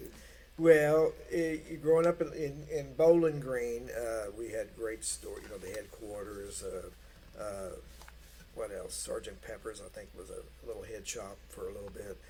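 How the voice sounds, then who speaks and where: A man with a Kentucky accent talks with big swings in loudness. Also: fairly slow pace. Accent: Kentucky Southern US. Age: 60s. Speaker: guitarist. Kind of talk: casual chat. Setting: studio.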